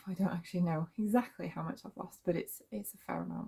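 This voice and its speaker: A woman talks at a moderate pace with a British accent. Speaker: vlogger. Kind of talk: casual monologue. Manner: hesitant, many fillers.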